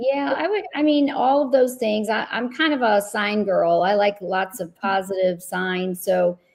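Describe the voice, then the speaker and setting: Although she speaks at a fairly slow pace, this woman has hardly any pauses, and her unremarkable speaking voice has a medium pitch and lively intonation. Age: 60s. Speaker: luxury real estate agent. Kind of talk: panel discussion.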